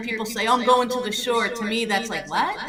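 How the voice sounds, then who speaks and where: The speaker has a New Jersey accent, and audible room echo surrounds the voice. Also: woman. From US Northeast, Monmouth County New Jersey. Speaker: home stager and real estate agent. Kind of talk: casual interview podcast.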